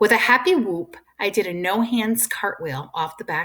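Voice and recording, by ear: A passage is read aloud by a natural-sounding voice.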